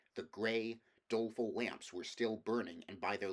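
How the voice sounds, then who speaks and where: An ordinary speaking voice from a man with medium pitch, fairly even intonation and a moderate pace. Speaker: audiobook reader. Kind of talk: audiobook reading of a fantasy novel.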